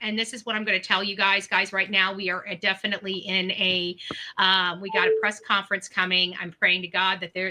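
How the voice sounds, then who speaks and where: A woman's put-on character voice, raspy and medium in pitch, with monotone, flat intonation and a fairly quick pace. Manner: fast talking.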